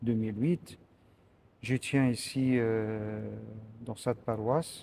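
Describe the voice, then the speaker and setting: Very slow speech from a man at medium pitch, his intonation fairly even. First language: Arabic (speaking French). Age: 60s. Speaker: priest. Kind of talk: interview. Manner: halting, many hesitations.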